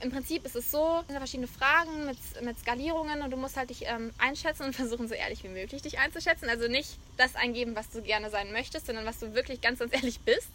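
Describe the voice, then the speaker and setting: A woman talks very fast in a raised, projected voice, her high pitch moving with ordinary variation. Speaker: podcast host. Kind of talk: casual chat. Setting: on location in Mallorca.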